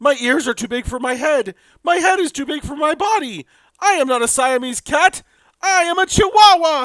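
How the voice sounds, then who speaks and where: A put-on character voice from a man, extremely high-pitched, raised and projected, playful in tone, at a moderate pace. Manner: playful, comedic.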